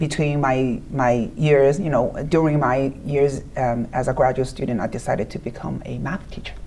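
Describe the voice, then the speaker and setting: With a Chinese accent and very deep, low pitch, a woman speaks at a moderate pace with hardly any pauses and fairly even intonation over noticeable background noise. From China. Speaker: high school principal. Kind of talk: interview. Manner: halting.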